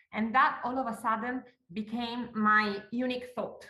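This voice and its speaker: High-pitched woman's voice with an Italian accent and audible room echo. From Italy. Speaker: golf course owner. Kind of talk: interview.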